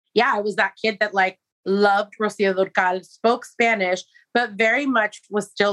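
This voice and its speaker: In an American accent, a woman speaks at a medium pitch and moderate pace, with a dry, close sound and no echo. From San Francisco, California. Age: 40s. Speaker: entrepreneur and candle maker. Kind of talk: casual chat. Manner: animated.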